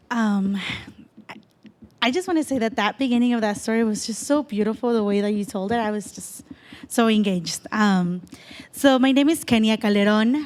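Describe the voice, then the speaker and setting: Speaking at a fairly quick pace with long, frequent pauses, a woman with a Spanish accent uses a fairly high pitch and ordinary pitch variation over noticeable background noise. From El Salvador. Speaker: panel speaker. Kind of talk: personal story talk.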